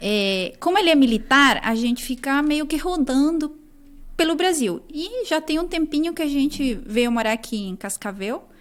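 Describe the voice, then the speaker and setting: A woman with a Chilean accent speaks at a moderate pace in a high pitch with lively intonation, on a very clean recording with a silent background. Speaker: nutritionist. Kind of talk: academic interview.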